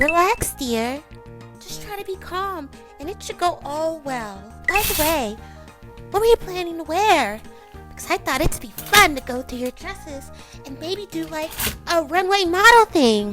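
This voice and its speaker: Clear music plays behind a female-sounding, put-on character voice. Its pitch is extremely high, and the pace is moderate. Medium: dub. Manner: calm, soothing.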